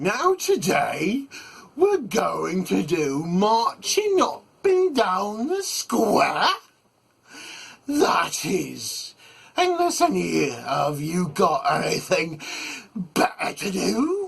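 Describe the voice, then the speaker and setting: Speaking at a very slow pace, a man uses a put-on character voice. His pitch sits high. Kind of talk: military. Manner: barking, commanding.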